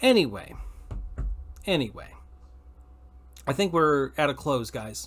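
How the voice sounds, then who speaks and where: With an American accent and vocal fry, a man with a fairly high voice speaks at a fairly slow pace, with very wide pitch swings and long, frequent pauses. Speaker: podcast host. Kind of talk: casual chat. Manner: loud; halting, many repeated words.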